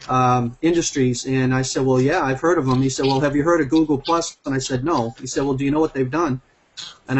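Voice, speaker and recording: Talking at a fairly quick pace, a man with a Boston accent keeps a fairly high pitch and fairly even intonation. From Massachusetts (Braintree, near Boston). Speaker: network marketing executive. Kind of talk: testimonial on group video call. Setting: video call.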